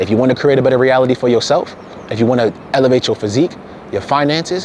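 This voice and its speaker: A very fast, animated man's voice at medium pitch with ordinary pitch variation, over noticeable background noise. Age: 20s. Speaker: fitness content creator. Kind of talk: motivational monologue.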